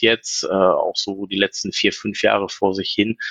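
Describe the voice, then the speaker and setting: A dry, close sound with no echo carries this man's speech. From Ruhr area, Germany (Essen). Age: 40s. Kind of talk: casual chat.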